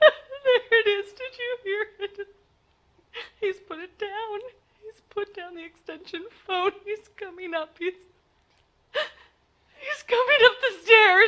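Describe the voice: A woman in a put-on character voice, extremely high in pitch, with a bright, sharp tone, a slow pace and ordinary pitch variation.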